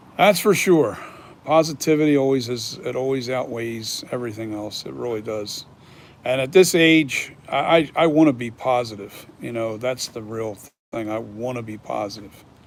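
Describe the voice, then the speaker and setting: In an unremarkable speaking voice of medium pitch, a man talks at a moderate pace with ordinary pitch variation and big swings in loudness. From Philadelphia region, US. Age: 60s. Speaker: mask maker. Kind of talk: casual chat. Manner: casual, with many fillers.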